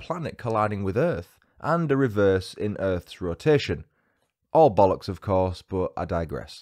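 Against a quiet background, a man with a British accent speaks at a fairly low pitch with very wide pitch swings. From UK. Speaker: true crime podcaster. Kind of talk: scripted narration. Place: home room. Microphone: studio mic.

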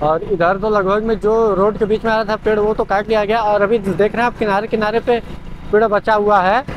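A man talks at a fairly quick pace in a high voice with fairly even intonation.

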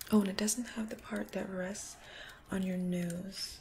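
The talking is fairly slow. It comes from a woman, with background noise clearly audible. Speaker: ASMR creator. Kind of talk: ASMR role play. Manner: soft-spoken, calming, whispery.

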